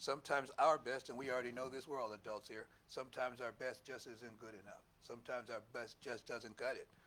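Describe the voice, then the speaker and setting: Loud, bright and sharp, the voice races along at a very fast pace with monotone, flat intonation. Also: man, medium pitch for a man. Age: 70s. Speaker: minister. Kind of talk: sermon. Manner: conversational, halting asides.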